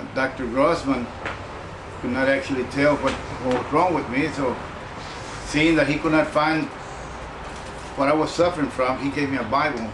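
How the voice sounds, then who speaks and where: A man speaks with fairly even intonation, leaving long, frequent pauses. Noticeable background noise and audible room echo surround his voice. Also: fairly high pitch for a man, moderate pace. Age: 70s. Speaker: former army depot worker. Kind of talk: testimony. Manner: halting.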